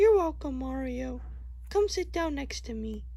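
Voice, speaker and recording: A cartoonish character voice that sounds female goes at a moderate pace against noticeable background noise. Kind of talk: puppet parody skit voice acting. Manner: sympathetic, gentle.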